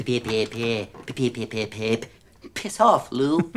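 Someone uses a low-pitched, put-on character voice at a moderate pace. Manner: stuttering.

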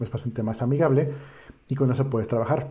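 A man talks in a Mexican accent, sounding somewhat breathy. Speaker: podcast host. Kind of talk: casual chat. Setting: live stream.

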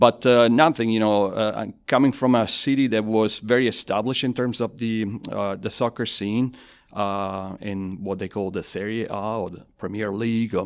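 A man's fairly low voice with an Italian accent, fairly even intonation and a moderate pace, on a very clean recording with a silent background. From southern Italy (Avellino). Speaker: university professor and design school director. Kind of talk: casual interview. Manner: conversational, hesitant with fillers.

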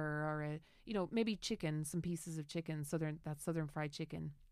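On a very clean recording with a silent background, a woman with a rural Irish accent talks at a fairly quick pace. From Ireland, rural Tipperary. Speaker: podcast host. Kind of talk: casual chat.

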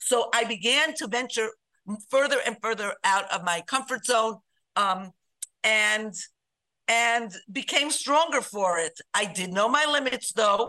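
A woman's fairly high, bright, sharp voice in an American accent, at a fairly slow pace. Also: lively intonation. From Chicago and New York. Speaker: writer and organization co-founder. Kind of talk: casual interview.

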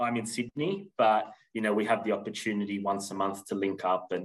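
With an Australian accent, a man talks at a moderate pace in a fairly low pitch and fairly even intonation. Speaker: recruitment agency general manager. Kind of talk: interview. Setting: remote call.

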